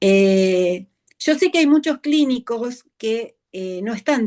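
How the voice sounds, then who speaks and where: In an ordinary speaking voice, a woman talks at a fairly high pitch with lively intonation, the sound dry and close with no echo over a quiet background. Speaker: veterinary behaviorist. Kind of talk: interview.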